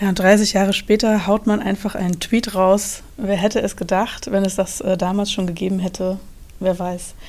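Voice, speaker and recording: This woman has a medium pitch. She speaks with monotone, flat intonation. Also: moderate pace. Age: 30s. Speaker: university social media editor hosting podcast. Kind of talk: interview.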